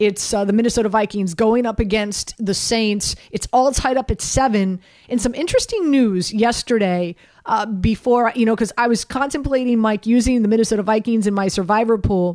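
Speaking at a fairly quick pace with an American accent, a woman has an ordinary speaking voice with a fairly high pitch, ordinary pitch variation and very even loudness. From US South, Miami. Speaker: sports radio host. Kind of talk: sports talk radio.

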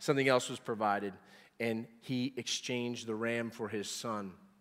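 A man at medium pitch and a moderate pace, with a normal speaking voice. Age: 40s. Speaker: pastor. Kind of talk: sermon. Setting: church.

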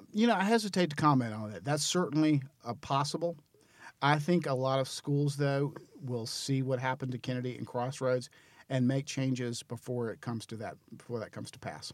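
A plain, everyday voice at a fairly quick pace, with ordinary pitch variation and big swings in loudness. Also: man, medium pitch for a man. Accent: American. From North Carolina, Greensboro. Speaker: charter schools association director. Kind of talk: interview.

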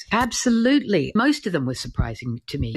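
In an Australian accent, the words come at a fairly quick pace. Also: woman. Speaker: author and art critic. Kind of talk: interview. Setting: live audio app recording.

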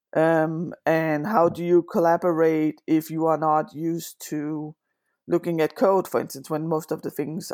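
In a Danish accent, a woman talks fairly slowly in a very deep, low voice, the sound dry and close with no echo on a very clean recording against a silent background. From Denmark. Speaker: agile coach. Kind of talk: interview.

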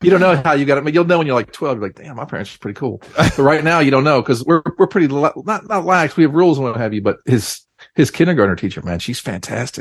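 With an American accent, a man with a fairly high pitch and vocal fry talks at a very fast pace with lively intonation, hardly any pauses and big swings in loudness. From North Carolina. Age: 50s. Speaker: indie rock musician. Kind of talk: casual interview. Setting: remote call from home.

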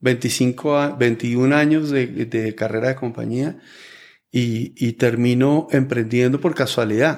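A man's medium-pitched voice with fairly even intonation, on a very clean recording with a silent background. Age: 50s. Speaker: entrepreneur and investor. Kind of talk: interview conversation. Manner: halting with frequent repetitions.

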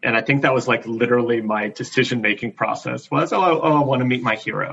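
The voice has an American accent. Its pitch variation is ordinary. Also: man. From US South, Greenville, South Carolina. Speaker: theater director. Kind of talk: interview. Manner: halting, with fillers.

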